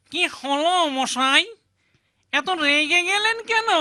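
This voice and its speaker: This is a cartoonish character voice. The pitch is extremely high. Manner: pleading, rustic.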